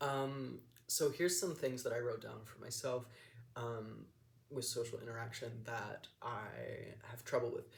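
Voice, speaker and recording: Audible room echo surrounds a man speaking at a fairly slow pace. His somewhat breathy voice sits at medium pitch with fairly even intonation. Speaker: vlogger. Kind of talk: casual personal vlog monologue. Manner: monotone; mumbling, hesitant with many ums.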